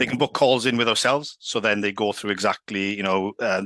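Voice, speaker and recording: In a dry, close recording with no echo, a man with a fairly low pitch talks at a very fast pace with fairly even intonation. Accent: Welsh Valleys. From Wales, Swansea valleys. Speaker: sales executive. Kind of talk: casual interview.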